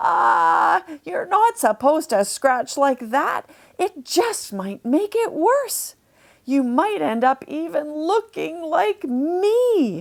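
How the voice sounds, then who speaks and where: Using a put-on character voice, a woman talks at a very slow pace, her high pitch making very wide swings. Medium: read story.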